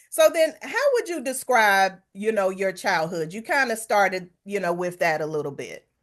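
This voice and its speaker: The speaker talks at a moderate pace with hardly any pauses. The pitch swings very widely. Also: woman, medium pitch for a woman. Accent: North Carolina. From US South, Hickory, North Carolina. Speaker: podcast host. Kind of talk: interview conversation; reading an introduction.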